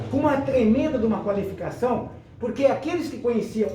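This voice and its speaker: A man's extremely high-pitched voice with lively intonation, noticeable background noise and audible room echo. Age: 60s. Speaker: local historian, nostalgia show host. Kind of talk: casual group chat, reminiscing.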